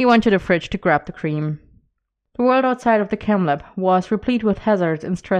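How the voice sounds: Quiet surroundings behind a natural reading voice.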